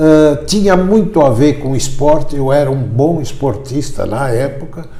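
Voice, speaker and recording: Noticeable background noise and audible room echo surround this man's voice. He talks at a fairly high pitch with ordinary pitch variation. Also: fairly slow pace. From Brazil, São Paulo. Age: 70s. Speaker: orthopedic foot surgeon. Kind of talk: interview.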